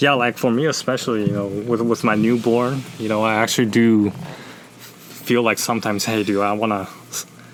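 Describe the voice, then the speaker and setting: Noticeable background noise sits behind this voice. The pace is fairly quick, and the intonation is monotone and flat. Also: man, medium pitch for a man. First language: not English. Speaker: climbing and calisthenics YouTuber. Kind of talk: casual interview. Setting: podcast. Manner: halting.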